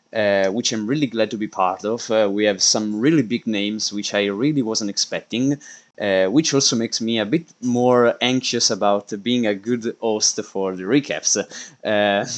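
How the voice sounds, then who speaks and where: A man's fairly low voice with an Italian accent, moderate pace, ordinary pitch variation, hardly any pauses and a quiet background. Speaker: esports league stream host. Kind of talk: live stream commentary. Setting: live stream. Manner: halting, many fillers.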